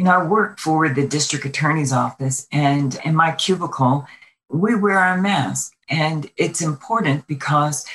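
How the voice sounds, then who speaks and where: A woman with an American accent speaks with a very deep, low pitch and ordinary pitch variation. Her voice is somewhat breathy, and her pace is fairly slow. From Brooklyn, New York. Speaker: state legislator and Air Force veteran. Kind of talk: interview.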